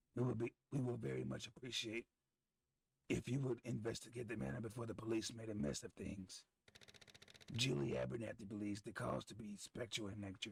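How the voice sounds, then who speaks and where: In a put-on character voice, a man growls at a fairly quick pace, his fairly low voice gravelly and raspy. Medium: game stream. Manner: well-enunciated, formal, deadpan.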